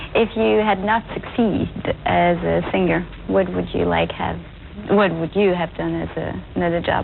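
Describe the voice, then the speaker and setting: This woman speaks at a moderate pace. Noticeable background noise sits behind her voice. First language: French. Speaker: TV interviewer. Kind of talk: interview.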